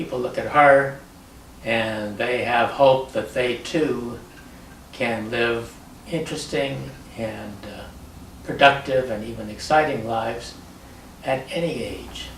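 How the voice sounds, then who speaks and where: A man with a medium pitch speaks at a very slow pace, with long, frequent pauses and ordinary pitch variation. His loudness swings widely, and there is noticeable background noise. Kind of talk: interview answer.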